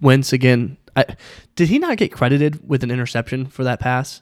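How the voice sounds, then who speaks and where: A man with an ordinary speaking voice talks at a fairly quick pace and medium pitch, recorded very cleanly against a silent background with a dry, close sound and no echo. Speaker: podcast host. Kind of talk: casual chat about football betting.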